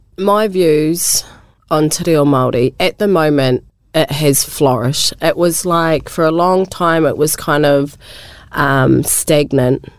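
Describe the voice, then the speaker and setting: A woman with a New Zealand accent speaks at a very slow pace with a very deep, low pitch. Her loudness stays very even, with ordinary pitch variation. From New Zealand, Wairarapa. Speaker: community organisation worker. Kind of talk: radio interview. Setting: radio studio. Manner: hesitant, with fillers.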